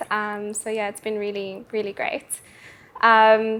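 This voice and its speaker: Speaking fairly slowly, a woman uses a fairly high pitch and a South African accent. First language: Afrikaans. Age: 20s. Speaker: bodybuilder and personal trainer. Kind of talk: casual interview. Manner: hesitant pauses.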